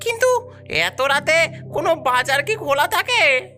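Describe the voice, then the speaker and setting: Over clear background music, a woman performs a cartoonish character voice at a moderate pace. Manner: nervous, hesitant.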